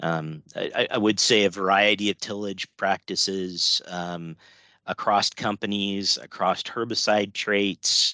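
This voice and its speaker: Speaking very slowly in an American accent, a man with a fairly low pitch sounds bright and sharp yet monotone and flat, recorded dry and close with no echo against a quiet background. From West Central Illinois. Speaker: agronomist. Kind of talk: interview.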